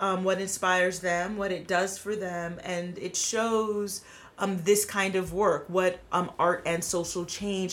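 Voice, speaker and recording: Audible room echo surrounds a woman speaking at a very slow pace. Her medium-pitched voice stays monotone and flat. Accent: American. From New York City (Queens). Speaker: filmmaker and theater artist. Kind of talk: casual chat.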